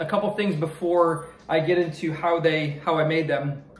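With audible room echo around him, a man talks at a fairly slow pace in a high pitch. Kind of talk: casual cooking vlog chat. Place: kitchen. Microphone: phone near.

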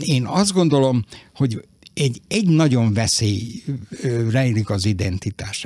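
A man speaks at a moderate pace and medium pitch with lively intonation and a somewhat breathy voice. The sound is dry with no echo. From Vojvodina, Serbia (Novi Sad); Vojvodina, Serbia. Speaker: writer. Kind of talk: radio interview. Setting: studio. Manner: halting. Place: studio.

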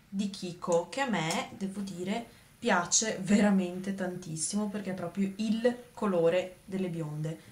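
At a fairly slow pace, a woman is talking. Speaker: beauty vlogger. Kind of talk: tutorial. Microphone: phone near.

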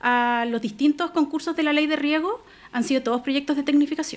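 A woman talks at a moderate pace with ordinary pitch variation. Her voice sits high for a woman. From Chile, La Serena (Coquimbo region); Chile. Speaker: lawyer, regional irrigation official; lawyer. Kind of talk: radio interview. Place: studio. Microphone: studio mic.

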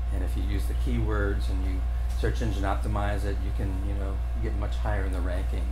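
With music in the background, a man speaks in a monotone, flat intonation. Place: hall. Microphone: camera far.

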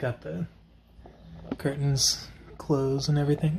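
Noticeable background noise sits under a man speaking at a moderate pace in a medium pitch. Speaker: vlogger. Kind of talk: casual vlog monologue. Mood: relaxed, easygoing. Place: home room. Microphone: phone near.

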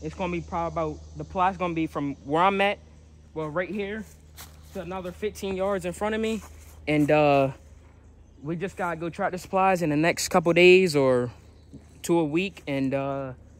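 The man's voice is high in pitch with ordinary variation, broken by long, frequent pauses, and the sound is dry with no echo. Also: moderate pace. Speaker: outdoors vlogger. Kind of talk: casual vlog chat. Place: forest. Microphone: phone near.

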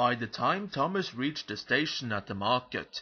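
A natural voice reads the text aloud.

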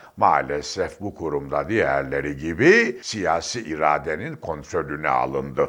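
Over a quiet background, a man talks very slowly in a very deep, low voice with vocal fry. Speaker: political commentator. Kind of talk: political commentary monologue. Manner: emphatic.

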